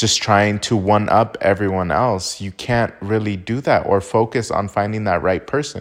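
With a normal speaking voice, a man talks at a moderate pace with hardly any pauses, fairly low pitch and fairly even intonation over a quiet background. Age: 20s. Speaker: podcast host. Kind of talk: casual monologue.

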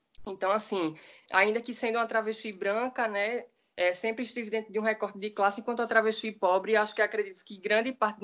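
With a plain, everyday voice, a woman speaks at a medium pitch and fairly even intonation. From Brazil, Recife. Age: young. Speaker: activist, writer and social work student. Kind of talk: panel discussion.

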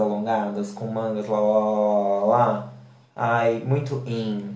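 A man talks in a fairly low pitch. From Brazil, countryside (interior). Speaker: podcast host and fashion designer. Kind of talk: casual chat. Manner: animated.

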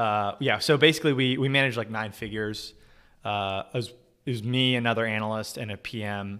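This man has a plain, everyday voice with an American accent. He speaks at a fairly quick pace in a medium pitch with ordinary pitch variation. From US West, Southern California (Orange County). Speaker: finance content creator and company CFO. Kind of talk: casual livestream interview. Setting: video call livestream.

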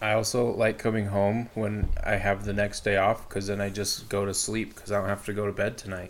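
A man's put-on character voice, raspy and fairly low, at a fairly quick pace with hardly any pauses, monotone, flat intonation and light background noise. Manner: sleepy, casual.

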